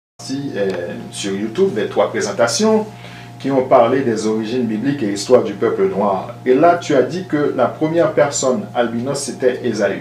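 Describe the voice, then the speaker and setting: In a room with audible echo and noticeable background noise, a man of medium pitch talks at a fairly slow pace with lively intonation. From Angola. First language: not French (speaking French). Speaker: listener asking a question. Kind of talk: question to host.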